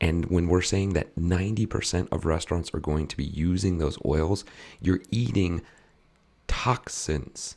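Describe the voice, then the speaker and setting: On a very clean recording with a silent background, a man speaks in a very deep, low pitch marked by vocal fry. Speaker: podcast host / health coach. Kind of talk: casual podcast chat. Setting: live stream on social media. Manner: halting, repeats words.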